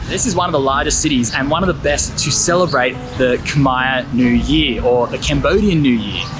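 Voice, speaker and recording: A man with an Australian accent talks at a moderate pace with hardly any pauses, his medium pitch showing ordinary variation, over background music and audible room echo. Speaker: travel vlogger. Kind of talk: travel vlog. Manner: casual, upbeat.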